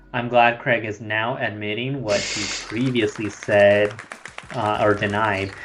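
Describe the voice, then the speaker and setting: Over noticeable background noise, a man speaks with a fairly low pitch and a monotone, flat intonation. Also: fairly slow pace. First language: Spanish. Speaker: podcast co-host. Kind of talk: casual chat.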